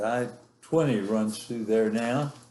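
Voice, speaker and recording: A man's medium-pitched voice with an American accent, plus audible room echo. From West Texas. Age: 80s+. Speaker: grandfather telling his life story. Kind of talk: oral history interview. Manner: halting, many fillers.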